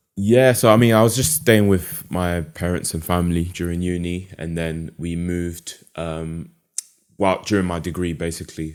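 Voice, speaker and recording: A man speaks in a London accent at a moderate pace. His pitch is very deep and low. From London, England. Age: 20s. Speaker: animator and mental health podcaster. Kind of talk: podcast interview.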